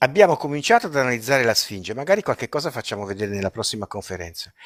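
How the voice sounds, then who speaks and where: Very fast and with very wide pitch swings, a man speaks at medium pitch. The sound is dry and close, with no echo. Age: 70s. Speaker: retired chemistry professor and researcher. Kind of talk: live-stream interview. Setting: live stream. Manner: animated.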